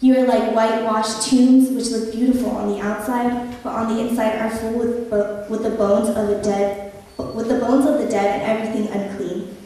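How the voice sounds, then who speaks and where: A woman with a fairly high pitch talks at a fairly quick pace in a room with strong echo. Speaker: preacher. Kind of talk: sermon, personal testimony. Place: church.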